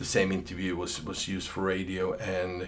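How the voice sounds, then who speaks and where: A man speaks at a moderate pace with a very deep, low pitch. Audible room echo surrounds the voice. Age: 50s. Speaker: session guitarist. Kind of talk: personal storytelling. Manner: hesitant, with many repeated words.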